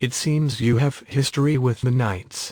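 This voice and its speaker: Using a put-on character voice, a man talks at a moderate pace in a calm tone. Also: medium pitch for a man. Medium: video game. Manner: calm, understated.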